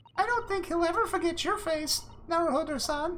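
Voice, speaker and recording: A man's squeaky, extremely high put-on character voice at a fairly quick pace. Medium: game stream. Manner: polite, formal, gently teasing.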